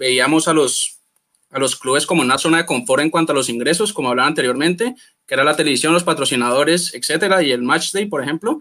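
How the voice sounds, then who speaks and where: A man's bright, sharp tone at a very fast pace. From Colombia. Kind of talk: panel discussion.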